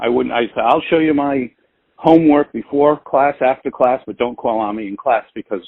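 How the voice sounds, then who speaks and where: With big swings in loudness, a man talks at a moderate pace and medium pitch in an ordinary speaking voice, his pitch varying in an ordinary way. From US Northeast, Providence, Rhode Island. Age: 60s. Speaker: public speaking coach. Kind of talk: interview.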